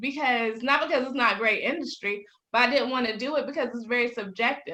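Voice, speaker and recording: A woman with a Southern US accent uses a raised, projected voice. Her pitch is high, with ordinary pitch variation. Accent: Southern US drawl. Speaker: business owner, publicist. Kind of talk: podcast interview answer. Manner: high-energy.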